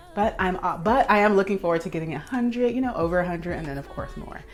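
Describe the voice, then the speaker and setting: An animated woman's voice at medium pitch, with music in the background. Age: 30s. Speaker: lifestyle vlogger. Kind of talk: casual vlog monologue.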